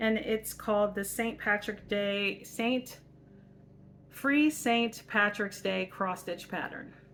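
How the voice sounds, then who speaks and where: A woman speaks loud, with a bright, sharp tone. Her pitch is fairly high and her intonation fairly even. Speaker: craft channel host. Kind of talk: casual vlog chat.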